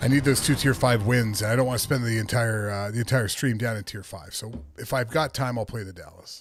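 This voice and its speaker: Speaking fairly quickly with hardly any pauses, a man with a somewhat breathy, medium-pitched voice shows ordinary pitch variation and big swings in loudness on a very clean recording with a silent background. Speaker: video game streamer. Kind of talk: live gameplay commentary. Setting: home office. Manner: soft-spoken.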